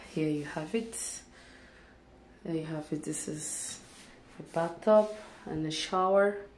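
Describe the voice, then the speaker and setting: A woman with a fairly low voice speaks fairly slowly with ordinary pitch variation, amid audible room echo and light background noise. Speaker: vlogger touring an apartment. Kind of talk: casual vlog chat. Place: bathroom. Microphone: phone near.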